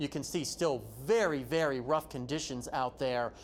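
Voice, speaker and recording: An ordinary speaking voice with an American accent and ordinary pitch variation. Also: man. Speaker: TV meteorologist. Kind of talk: TV weather broadcast.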